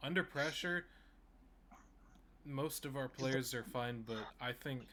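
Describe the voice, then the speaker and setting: A man talks at a fairly slow pace and a medium pitch. His tone is bright and sharp, and his pitch varies in an ordinary way. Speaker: podcast co-host. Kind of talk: casual chat. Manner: stuttering, halting.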